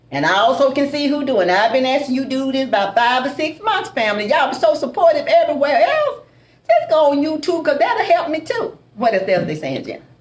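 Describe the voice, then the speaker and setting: Over noticeable background noise, a woman speaks loudly and fairly quickly in an animated, high voice with very wide pitch swings. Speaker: soul food cook and restaurant owner. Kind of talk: live stream chat.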